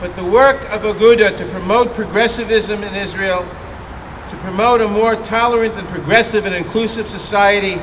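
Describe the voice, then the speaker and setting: A man speaks with an American accent at a high pitch. His pace is moderate, with noticeable background noise behind him. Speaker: US congressman speaking at a vigil. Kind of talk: public speech at a memorial vigil.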